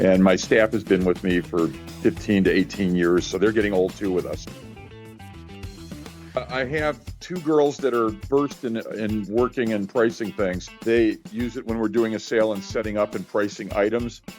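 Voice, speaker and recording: A man with an American accent speaks at a fairly low pitch, his intonation lively. Music plays behind him. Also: moderate pace. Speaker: auctioneer and estate sale liquidator. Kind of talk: interview answer. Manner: conversational, talkative.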